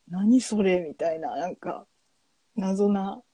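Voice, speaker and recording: A woman speaks at a medium pitch with a dark, mellow tone, somewhat breathy, and with ordinary pitch variation. The sound is dry and close with no echo, and her pace is fairly slow. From Japan, Hiroshima. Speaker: podcast co-host, IT worker. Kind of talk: casual chat.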